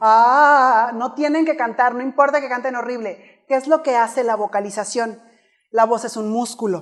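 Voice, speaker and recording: In an animated tone, a woman talks at a moderate pace with a high pitch and ordinary pitch variation. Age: 30s. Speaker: public speaking coach. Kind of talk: keynote talk. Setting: stage with audience.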